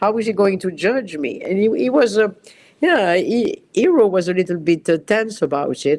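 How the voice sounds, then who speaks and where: A woman speaks with a French accent at a fairly slow pace. Her pitch varies in an ordinary way. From France. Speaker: costume designer. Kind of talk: interview. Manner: halting.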